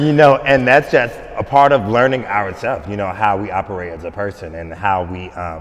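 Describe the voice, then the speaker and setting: An American-accented man talks at a moderate pace. His fairly low pitch has ordinary variation. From North Carolina. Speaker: choreographer; interviewee. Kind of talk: interview. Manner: animated. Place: hall.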